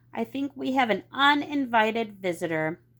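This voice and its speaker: A woman puts on a character voice. It is fairly high-pitched and moves at a moderate pace. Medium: read story. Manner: calm.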